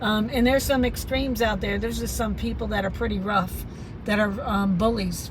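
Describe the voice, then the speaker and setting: A woman's speech carries audible room echo along with noticeable background noise. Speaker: vlogger. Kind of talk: casual monologue vlog. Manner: hesitant, many fillers.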